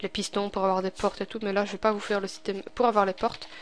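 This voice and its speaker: A woman talks with a Belgian accent. Her pitch is fairly high. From Belgium. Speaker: gaming tutorial youtuber. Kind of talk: tutorial. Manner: casual, hesitant with many fillers.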